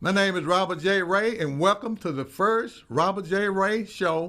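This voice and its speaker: On a very clean recording with a silent background, a high-pitched man with a Mississippi accent speaks at a moderate pace, his tone bright and sharp and his intonation lively. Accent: Southern US, Mississippi. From US South, Meridian, Mississippi. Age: 70s. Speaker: counseling therapist, talk show host. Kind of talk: personal storytelling monologue. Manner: casual, folksy with fillers.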